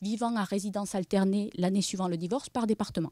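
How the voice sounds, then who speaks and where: A woman with a southern French accent speaks in a dark, mellow tone with ordinary pitch variation, the sound dry with no echo and the background quiet. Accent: noticeable regional southern French. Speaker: demographic researcher. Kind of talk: conference presentation. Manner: hesitant, many fillers. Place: meeting room. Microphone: podium.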